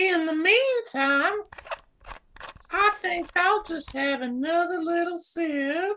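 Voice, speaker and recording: This woman's pitch is extremely high, with lively intonation. She talks very slowly, leaving long, frequent pauses. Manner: haughty, flustered.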